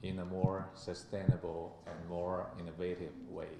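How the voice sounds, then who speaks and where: With a Chinese accent, a man speaks at a fairly slow pace in a very deep, low pitch and a dark, mellow tone, with audible room echo. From China. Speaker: ambassador. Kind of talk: formal speech. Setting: conference with audience.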